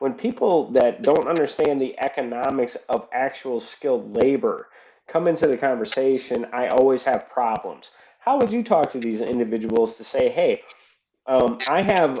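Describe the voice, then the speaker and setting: His voice is fairly high for a man, with a dark, mellow tone. His intonation is lively. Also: moderate pace. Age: 30s. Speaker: auto mechanic. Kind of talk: casual interview chat.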